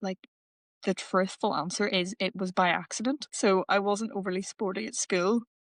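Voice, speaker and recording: An Irish accent at a moderate pace, in a dry, close sound with no echo. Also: woman. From Northern Ireland. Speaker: paratriathlete. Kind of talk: casual interview.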